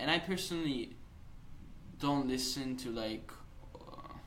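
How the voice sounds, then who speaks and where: At a moderate pace, a man talks with an Italian accent amid noticeable background noise and audible room echo. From Italy. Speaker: podcast guest. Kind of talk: casual chat. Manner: animated, uses hand gestures.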